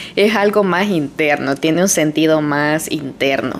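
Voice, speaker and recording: There is noticeable background noise as a woman talks at a very deep, low pitch. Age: 30s. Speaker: podcaster. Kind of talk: personal monologue. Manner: casual.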